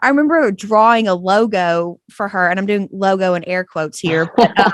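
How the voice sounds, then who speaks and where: A woman's medium-pitched voice with a slight Texas accent, at a moderate pace, with ordinary pitch variation. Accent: slight Texas twang. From East Texas. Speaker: graphic designer. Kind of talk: interview. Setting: remote call.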